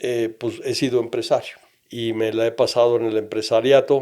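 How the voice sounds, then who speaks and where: His tone dark and mellow, a man talks at a moderate pace. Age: 60s. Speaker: entrepreneur. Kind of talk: interview.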